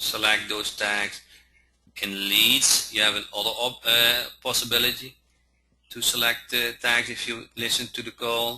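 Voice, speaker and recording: A man speaks with a non-native accent and a bright, sharp tone. His intonation stays monotone and flat. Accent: noticeable non-native pronunciation. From Netherlands. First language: Dutch. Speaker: software trainer. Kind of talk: training webinar. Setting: online webinar. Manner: halting, many fillers.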